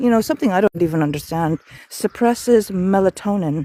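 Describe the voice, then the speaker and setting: A woman with an Irish accent speaks at a medium pitch and a fairly quick pace, her dark, mellow tone captured in a dry, close sound with no echo. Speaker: wellness challenge host. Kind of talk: live stream vlog. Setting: outdoors.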